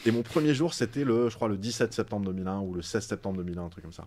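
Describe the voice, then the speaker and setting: A man's very fast speech at a fairly low pitch, dark and mellow in tone. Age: 40s. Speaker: science YouTuber. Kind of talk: casual interview chat. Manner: animated.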